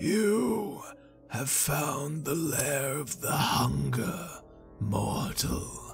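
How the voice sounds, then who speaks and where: A man puts on a character voice that is raspy, breathy and fairly high in pitch. He speaks at a very slow pace, with clear music in the background. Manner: slow, deliberate, ominous.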